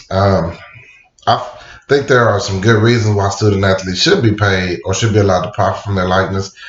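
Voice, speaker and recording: Against audible room echo, a man with a fairly low pitch talks at a fairly quick pace with fairly even intonation. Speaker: student. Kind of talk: class speech. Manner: hesitant, with fillers.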